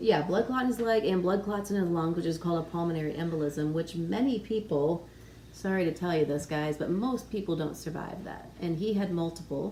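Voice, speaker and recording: Fairly low pitch, ordinary pitch variation and a moderate pace in a woman's normal speaking voice. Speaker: pharmacist. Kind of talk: interviewer on health channel.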